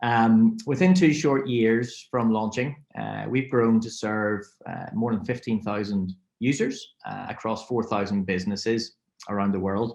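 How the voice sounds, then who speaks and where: A man with a Northern Irish accent at a fairly slow pace. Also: medium pitch for a man, ordinary pitch variation. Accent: Northern Irish (Belfast). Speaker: fintech software representative. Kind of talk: webinar presentation. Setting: webinar.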